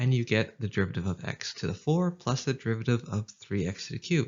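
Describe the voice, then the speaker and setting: Somewhat breathy, a man with a Canadian accent talks at a fairly quick pace, medium pitch and lively intonation. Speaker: math tutor. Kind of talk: educational tutorial narration. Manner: casual, upbeat.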